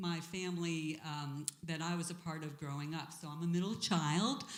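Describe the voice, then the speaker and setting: The speaker has an American accent, with audible room echo around the voice. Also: woman. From US East Coast (Long Island, Boston area, Florida). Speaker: church member, former board member. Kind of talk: interview.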